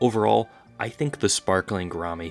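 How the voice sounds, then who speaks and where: A man with a fairly low pitch speaks with lively intonation over music in the background. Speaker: aquarium hobbyist YouTuber. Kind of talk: casual educational talk to camera.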